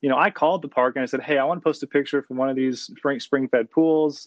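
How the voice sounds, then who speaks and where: Ordinary variation in pitch across a plain, everyday voice. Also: man. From Austin, Texas. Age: 20s. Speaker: outdoor photographer and social media account runner. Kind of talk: casual interview.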